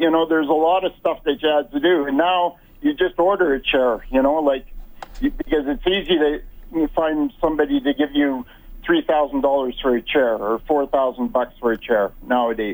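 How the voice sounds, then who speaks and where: At a moderate pace, the speaker uses a Prairie accent, keeping very even loudness and ordinary pitch variation. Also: man. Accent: Canadian English, Prairie. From rural Alberta, Canada. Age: 60s. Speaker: wheelchair athlete. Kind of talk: interview. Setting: phone call. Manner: halting, repeats words.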